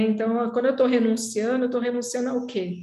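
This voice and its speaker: A woman speaks with a high pitch. Room echo is audible. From Brazil. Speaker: podcast host, psychoanalyst. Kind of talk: casual interview chat.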